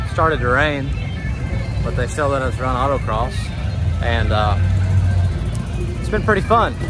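Over clear background music, a man talks at a moderate pace in a dry recording with no echo. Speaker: vlogger. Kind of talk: casual vlog chat. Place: open country. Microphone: phone near.

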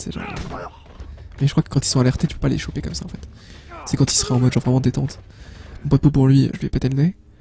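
A man speaks very fast yet with long, frequent pauses, over noticeable background noise. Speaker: gaming youtuber. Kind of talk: let's play commentary.

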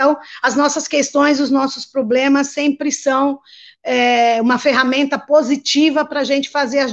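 A woman's high-pitched, monotone voice with flat intonation at a fairly slow pace. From Ceará, northeastern Brazil. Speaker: community leader. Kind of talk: panel talk.

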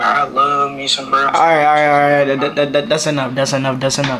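The speaker is a man. Some light background noise comes through. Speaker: vlogger. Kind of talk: casual vlog chat. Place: home room.

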